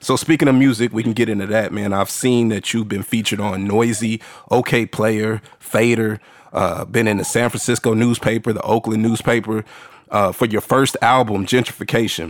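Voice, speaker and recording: An ordinary speaking voice talks at a moderate pace with fairly even intonation. The speaker has an American accent. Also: man, medium pitch for a man. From Texas, San Antonio. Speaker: podcast host. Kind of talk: casual interview.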